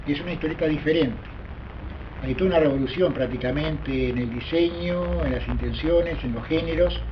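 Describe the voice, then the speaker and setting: There is audible room echo and noticeable background noise as a man speaks at a fairly quick pace. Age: 70s. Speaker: comics collector and dealer. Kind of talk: documentary interview.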